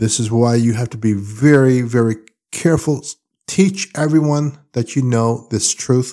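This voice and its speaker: Over a silent background in a very clean recording, a man with a dark, mellow tone speaks at a medium pitch with ordinary pitch variation. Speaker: spiritual counselor. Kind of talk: spiritual monologue. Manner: emphatic, repetitive.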